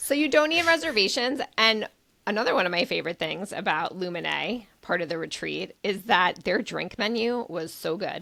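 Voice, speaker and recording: A woman with an American accent talks in an animated tone at medium pitch. Her voice moves through very wide pitch swings. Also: moderate pace. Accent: New York, comes out sometimes. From New York. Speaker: travel podcast co-host. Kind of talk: casual chat.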